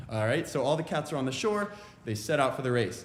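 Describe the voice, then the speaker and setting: With an American accent, a man talks at a very fast pace amid audible room echo. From Virginia, Richmond. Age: 20s. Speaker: a cappella singer. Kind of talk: stage banter between songs at a virtual concert. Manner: halting, many 'uh' fillers.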